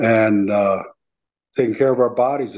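A man with an American accent talks at a medium pitch in a dark, mellow tone, keeping his intonation fairly even. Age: 70s. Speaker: bishop and army veteran. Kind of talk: casual interview chat.

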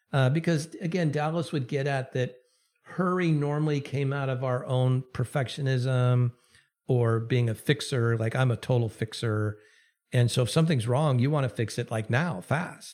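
A man speaks in a normal speaking voice. His pace is moderate. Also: medium pitch for a man, ordinary pitch variation. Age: 60s. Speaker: Anglican bishop and author. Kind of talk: interview.

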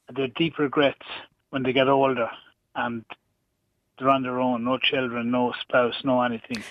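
A man with an Irish accent speaks at a moderate pace and medium pitch. His intonation is monotone and flat, with long, frequent pauses. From Ireland. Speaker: radio caller. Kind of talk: heated call-in debate. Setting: phone call.

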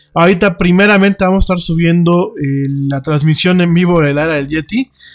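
A man talks at a moderate pace and a fairly high pitch, with ordinary pitch variation, as music plays behind him. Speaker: radio host. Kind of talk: casual chat. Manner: halting.

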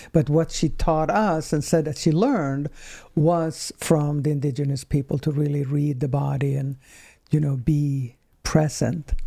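On a very clean recording with a silent background, a woman with a very deep, low pitch and a dark, mellow tone speaks fairly slowly with fairly even intonation. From Sweden. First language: Swedish. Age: 60s. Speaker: somatic healing practitioner. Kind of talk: casual chat.

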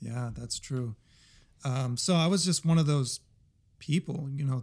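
A man with a medium-pitched voice speaks at a moderate pace in a very clean recording with a silent background. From New Jersey, Puerto Rican family. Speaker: music composer. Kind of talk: casual interview.

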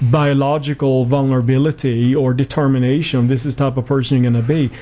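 Noticeable background noise runs behind a man with a Swedish accent who talks at a fairly quick pace and a medium pitch. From Sweden. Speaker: clinical psychology professor. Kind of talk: radio interview. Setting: studio.

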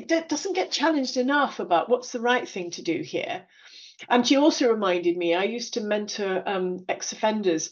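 A woman speaks at a moderate pace in a high voice that swings very widely in pitch. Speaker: podcast host. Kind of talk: interview.

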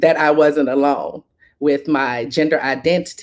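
A woman speaks in a Southern US accent. Her pitch is very deep and low. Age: 40s. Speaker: HIV advocate and organizer. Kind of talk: interview conversation.

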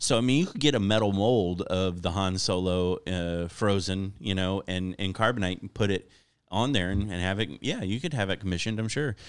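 Fairly quick and low-pitched, a man speaks with an American accent in a normal speaking voice and ordinary pitch variation. The recording is very clean, with a silent background. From Florida. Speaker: comedian. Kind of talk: casual chat. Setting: studio.

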